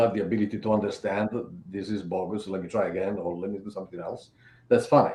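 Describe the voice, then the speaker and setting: A dark, mellow voice with a non-native accent, delivered at a very fast pace with big swings in loudness. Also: man. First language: not English. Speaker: cybersecurity expert. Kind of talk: panel discussion.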